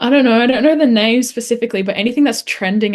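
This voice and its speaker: Speaking very fast, a woman with a fairly high pitch shows ordinary pitch variation. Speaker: college tennis player. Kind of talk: interview. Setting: video call.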